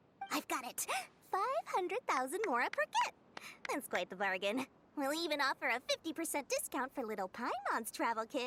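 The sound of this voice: A woman puts on a character voice pitched high for a woman with a fairly bright tone. Her pitch swings very widely. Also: moderate pace.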